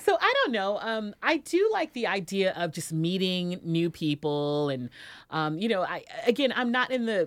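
In a very clean recording with a silent background, a woman talks at a moderate pace with a medium pitch. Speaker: podcast host and radio personality. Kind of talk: casual chat. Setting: studio. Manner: halting.

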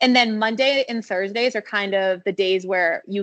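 An ordinary speaking voice belongs to a woman with an American accent who talks at a medium pitch and a moderate pace with ordinary pitch variation. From Maine, US (Standish, Portland area). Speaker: professional runner. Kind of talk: casual interview.

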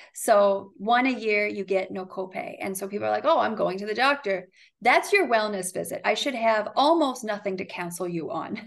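A woman's plain, everyday voice at a medium pitch with an American accent, lively intonation, a moderate pace and hardly any pauses, over a quiet background. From Ohio, US Midwest. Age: 30s. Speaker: physician. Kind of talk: casual interview.

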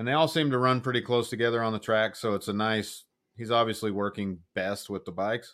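A man of medium pitch at a fairly quick pace, in a very clean recording with a silent background. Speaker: motorcycle racing podcast co-host. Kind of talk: casual chat. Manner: pitch varies a lot, changes octaves; animated.

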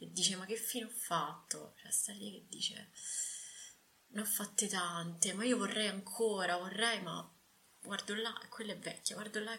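With long, frequent pauses and big swings in loudness, a woman speaks at a moderate pace and medium pitch, using fairly even intonation over noticeable background noise. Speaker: podcast host. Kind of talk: casual interview.

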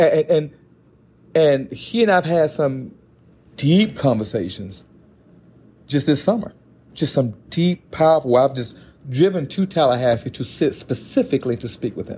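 With a dark, mellow tone and a somewhat breathy quality, a man speaks at a fairly high pitch with lively intonation and a moderate pace, leaving long, frequent pauses. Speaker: podcast co-host and choir director. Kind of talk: casual chat. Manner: stutters when excited.

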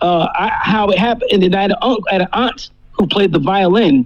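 A man with a New Jersey accent talks at a fairly slow pace in a relaxed tone. His pitch varies in an ordinary way over noticeable background noise. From New Jersey, US. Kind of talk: casual chat, radio interview. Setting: phone or video call. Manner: relaxed, repetitive, stammering.

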